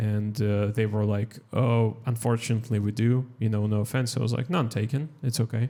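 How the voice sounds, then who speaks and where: With a Russian accent, a man talks at a fairly quick pace and a medium pitch, with hardly any pauses, fairly even intonation and very even loudness. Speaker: stand-up comedian. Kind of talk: casual chat. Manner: halting.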